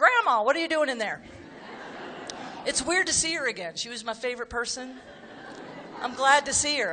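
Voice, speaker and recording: A woman at a high pitch and a fairly quick pace, with noticeable background noise. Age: 60s. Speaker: comedian. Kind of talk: stand-up. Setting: stage with audience. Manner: animated.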